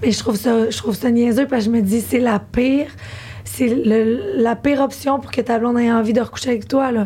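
A woman speaks with a Quebec accent. Her pitch is fairly high. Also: fairly even intonation, fairly quick pace. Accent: Québécois French. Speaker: podcast host. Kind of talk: casual chat.

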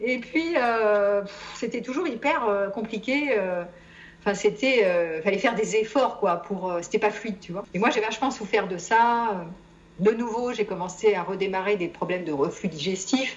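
This woman talks at a fairly slow pace with a medium pitch and ordinary pitch variation. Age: 50s. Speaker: psychologist and psychotherapist. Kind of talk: testimony. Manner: halting.

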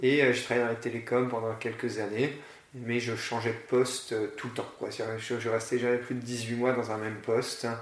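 Through noticeable background noise and audible room echo, a man talks at a moderate pace in a monotone, flat way. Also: medium pitch for a man. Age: 40s. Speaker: school founder. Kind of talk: interview. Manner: halting.

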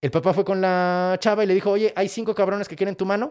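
A man with a central Mexican accent speaks fairly quickly in a high, animated voice on a very clean recording with a silent background. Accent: Mexican Spanish (central Mexico). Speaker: comedian and podcast host. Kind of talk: casual storytelling of myths.

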